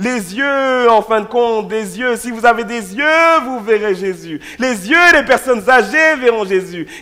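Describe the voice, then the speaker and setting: In a raised, projected voice with an extremely high pitch, a man talks very slowly with hardly any pauses and ordinary pitch variation, amid noticeable background noise. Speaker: pastor. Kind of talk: sermon. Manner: loud.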